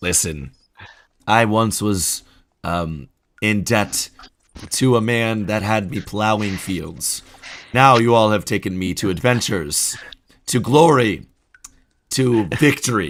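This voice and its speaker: A man's put-on character voice, fairly low in pitch and fairly slow, broken by long, frequent pauses. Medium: actual play. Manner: earnest, heartfelt.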